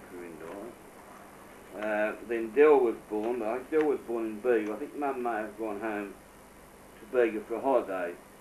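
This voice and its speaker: A man talks with ordinary pitch variation, and audible room echo is present. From Australia, New South Wales. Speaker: family elder recounting memories. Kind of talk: oral history interview. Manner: hesitant, filled with uh.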